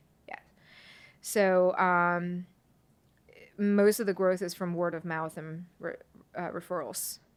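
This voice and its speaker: A woman with a Chinese accent and a medium pitch speaks in a monotone, flat way with long, frequent pauses on a very clean recording with a silent background. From China, moved to Kentucky at twelve. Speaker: property management company owner. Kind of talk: podcast interview. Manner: hesitant, many fillers.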